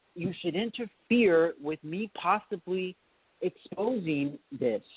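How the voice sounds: In a dry, close sound with no echo, a man speaks slowly at a high pitch with lively intonation and a slightly husky edge.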